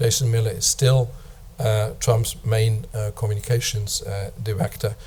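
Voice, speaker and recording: Somewhat breathy, a man's voice moves at a moderate pace. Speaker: professor. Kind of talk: lecture. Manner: hesitant, frequent uh fillers.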